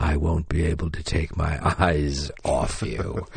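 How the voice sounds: Putting on a character voice, a man talks at a very deep, low pitch. His pace is fairly slow and his intonation fairly even.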